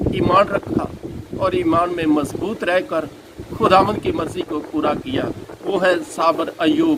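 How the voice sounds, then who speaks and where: A man speaks in a high pitch with very wide pitch swings. Noticeable background noise is present. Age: 70s. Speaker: pastor. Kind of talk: sermon.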